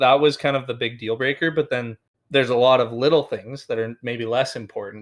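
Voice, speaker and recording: A man with an unremarkable speaking voice and a medium pitch talks at a moderate pace, his intonation fairly even. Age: 20s. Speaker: podcast co-host. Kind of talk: casual chat.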